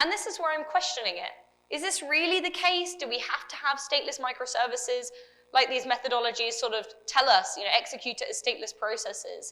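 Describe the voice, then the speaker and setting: Speaking in a British accent, a woman uses a raised, projected voice pitched high, racing at a very fast pace with big swings in loudness and very wide pitch swings. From UK. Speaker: developer advocate. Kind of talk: conference talk.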